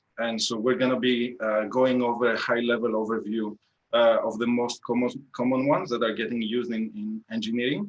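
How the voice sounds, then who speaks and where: Speaking at a fairly quick pace, a man uses a medium pitch. He talks with a Greek accent. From Greece, Athens. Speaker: engineering manager, tech talk speaker. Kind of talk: tech talk presentation. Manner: hesitant, many fillers.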